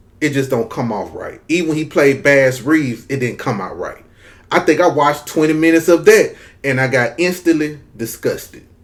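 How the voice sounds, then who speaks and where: A Southern US accent with ordinary pitch variation. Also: man, fairly high pitch for a man. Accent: Southern US drawl. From US South, Mississippi. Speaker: YouTube commentator. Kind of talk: casual vlog commentary.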